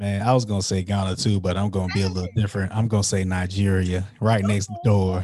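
A man with an American accent speaks very fast with hardly any pauses. His fairly low voice has a dark, mellow tone and a monotone, flat intonation. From US South, South Carolina (Florence). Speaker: podcaster and entrepreneur. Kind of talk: casual chat.

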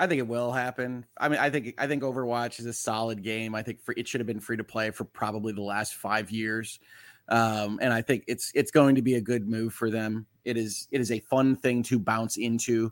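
A man talks in a normal speaking voice at medium pitch and a moderate pace, with fairly even intonation and hardly any pauses, in a dry, close sound with no echo and a very clean recording with a silent background. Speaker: lawyer and podcast co-host.

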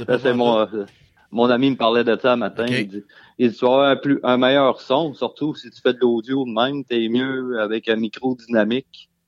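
This man's voice sits at a medium pitch, with monotone, flat intonation. He moves at a moderate pace while his loudness swings widely. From Quebec, Beauce. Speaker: truck driver. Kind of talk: casual chat. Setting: remote call from home.

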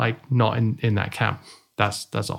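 A man speaks with a British accent in monotone, flat intonation. The recording is very clean, with a silent background. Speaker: online marketing podcast co-host. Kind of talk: casual chat. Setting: studio.

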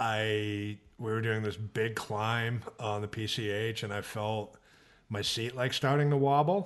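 This man talks at a very slow pace with an American accent. His pitch is fairly low and his intonation fairly even. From Boston area, Massachusetts. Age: 40s. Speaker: mixed martial arts reporter. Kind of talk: casual interview chat.

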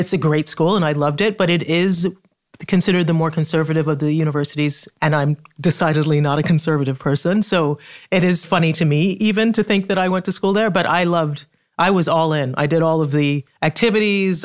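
On a very clean recording with a silent background, a woman with a fairly low pitch talks at a fairly quick pace with ordinary pitch variation. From Trinidad and Tobago. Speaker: writer and activist. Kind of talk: casual interview conversation. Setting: in-person studio.

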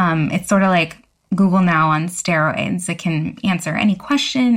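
A woman speaks fairly slowly in a medium pitch, her voice somewhat breathy. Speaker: tech journalist. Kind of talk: casual panel discussion.

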